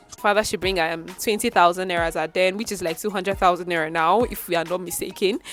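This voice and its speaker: Music plays in the background while a woman talks at a very fast pace. Her medium-pitched voice keeps fairly even intonation. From Nigeria. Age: 20s. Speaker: voiceover artist. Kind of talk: casual storytime to camera.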